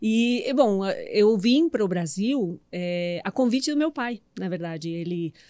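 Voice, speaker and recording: In a Uruguayan accent, a woman speaks at a very slow pace with very wide pitch swings. Her tone is dark and mellow. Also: medium pitch for a woman. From Uruguay, Montevideo. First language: Spanish (speaking Portuguese). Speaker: meditation and mindset coach. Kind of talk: podcast interview.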